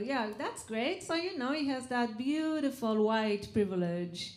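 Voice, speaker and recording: A woman with an Israeli accent, fairly high-pitched and lively in intonation, at a fairly slow pace with audible room echo. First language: Hebrew. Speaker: comedian. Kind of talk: stand-up. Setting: stage with audience.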